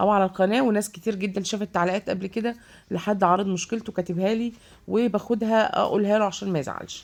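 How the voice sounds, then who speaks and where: A woman's medium-pitched voice in an Egyptian accent, fairly quick, with fairly even intonation. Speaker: vlogger. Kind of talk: casual vlog. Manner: hesitant, many fillers.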